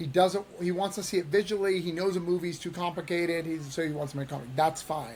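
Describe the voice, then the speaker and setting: Talking at a very fast pace with hardly any pauses, a man with a high voice uses ordinary pitch variation over noticeable background noise. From New Hampshire. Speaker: indie comic creator and publisher. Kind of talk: interview. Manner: halting, many repetitions.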